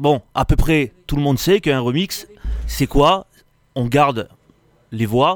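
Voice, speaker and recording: A man's fairly high voice at a very slow pace, with long, frequent pauses, ordinary pitch variation, and a dry, close sound with no echo. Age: 40s. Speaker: DJ. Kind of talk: explanatory radio chat. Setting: radio studio.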